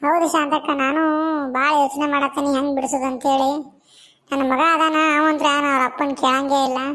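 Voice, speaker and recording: A woman puts on a high-pitched character voice, speaking at a moderate pace in a flat, monotone delivery. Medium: comedy sketch. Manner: plaintive, gossipy.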